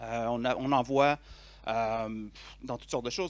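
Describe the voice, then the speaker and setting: On a very clean recording with a silent background, a man talks at a moderate pace with fairly even intonation. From Quebec. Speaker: conference speaker, software developer. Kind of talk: tech conference talk. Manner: hesitant, many fillers.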